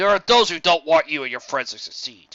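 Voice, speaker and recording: A man's raspy, put-on character voice at a fairly quick pace, with big swings in loudness. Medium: read story. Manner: furtive, nervous.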